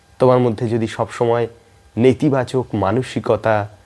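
A man talks at a medium pitch. His tone is dark and mellow.

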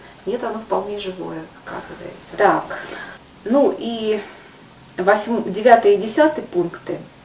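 Amid light background noise and audible room echo, a woman speaks with long, frequent pauses and big swings in loudness. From Buryatia, Ulan-Ude; Buryatia. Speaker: video blogger. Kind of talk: educational talk to camera. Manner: halting. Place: kitchen. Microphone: webcam.

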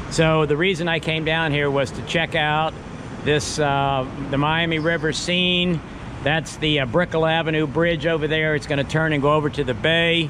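A man with monotone, flat intonation over noticeable background noise. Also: moderate pace. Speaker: vlogger filming the city. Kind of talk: casual vlog chat. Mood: relaxed, nostalgic. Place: station. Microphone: phone near.

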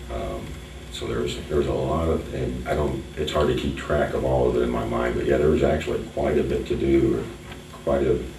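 A man with an American accent, a very deep, low pitch and monotone, flat intonation at a fairly quick pace, over noticeable background noise. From Collamer, Whitley County, Indiana. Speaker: local history museum owner. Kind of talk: oral history interview answer. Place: meeting room. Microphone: camera far.

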